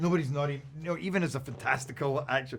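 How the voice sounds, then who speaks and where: The speaker talks at a very fast pace with a Scottish accent. The voice is somewhat breathy. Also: man. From Scotland. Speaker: actor. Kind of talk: interview answer.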